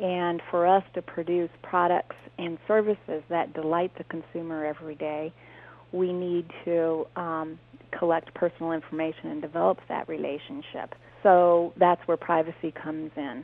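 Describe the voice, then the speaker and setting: Fairly low-pitched, a woman speaks in an ordinary speaking voice. Her intonation stays fairly even at a moderate pace. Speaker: privacy association president, corporate privacy executive. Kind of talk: interview.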